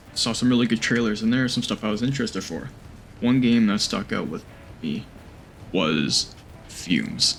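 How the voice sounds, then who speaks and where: A man speaks at a medium pitch and a moderate pace, with vocal fry. Long, frequent pauses break up his speech. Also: ordinary pitch variation. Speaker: gaming youtuber. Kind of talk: game review commentary. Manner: casual.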